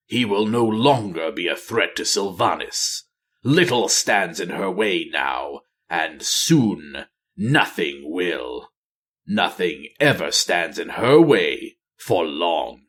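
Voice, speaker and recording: In a put-on character voice, a man speaks at a medium pitch and a very slow pace. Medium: read story. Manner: cold, grim.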